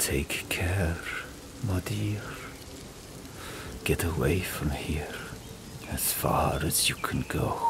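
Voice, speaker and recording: Whispering in a put-on character voice, the speaker goes very slowly over loud background noise. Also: man. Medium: read story. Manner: measured, regal.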